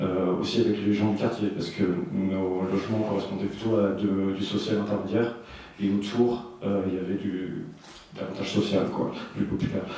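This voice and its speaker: Speaking at a moderate pace, a man with a fairly low pitch keeps a monotone, flat intonation amid audible room echo and noticeable background noise. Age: young. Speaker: community garden co-founder. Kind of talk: panel discussion. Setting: university conference room. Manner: halting, many hesitations.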